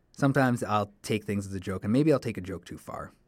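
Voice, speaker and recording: A man with a Canadian accent, fairly low-pitched, talking at a fairly quick pace with ordinary pitch variation, on a very clean recording with a silent background. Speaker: podcast host, college student. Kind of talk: solo podcast monologue, casual. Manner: halting, casual with fillers.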